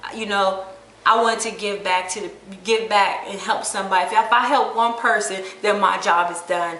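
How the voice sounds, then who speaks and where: Noticeable background noise and room echo surround a woman of medium pitch who talks at a moderate pace, her loudness swinging widely. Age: 40s. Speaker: vlogger. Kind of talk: casual vlog monologue. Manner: excited, rambling.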